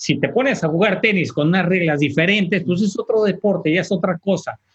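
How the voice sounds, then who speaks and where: Heard with a dry, close sound with no echo, a man speaks at a fairly quick pace in a high voice with ordinary pitch variation. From Tijuana, Mexico. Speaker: priest. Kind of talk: panel discussion. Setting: video call.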